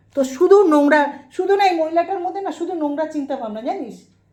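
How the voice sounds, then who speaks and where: A woman speaks in an animated tone. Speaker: YouTube vlogger. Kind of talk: angry rant.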